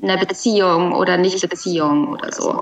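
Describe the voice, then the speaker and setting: Amid noticeable background noise, a woman talks at a fairly slow pace. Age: 20s. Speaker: podcast guest sharing personal problems. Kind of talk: personal conversation about heartbreak. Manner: halting, many filler words.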